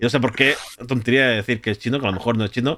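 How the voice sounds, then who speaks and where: A man speaks with a medium pitch, ordinary pitch variation and a bright, sharp tone in a very clean recording with a silent background. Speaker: podcast host and streamer. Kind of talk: casual chat.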